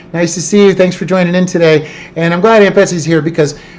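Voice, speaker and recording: A loud man amid noticeable background noise. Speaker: podcast host. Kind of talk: live-streamed podcast chat. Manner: animated.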